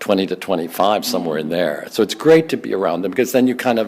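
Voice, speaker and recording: A man speaks at a very fast pace with noticeable background noise. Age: 80s+. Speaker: author and stage performer. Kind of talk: interview. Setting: rehearsal studio.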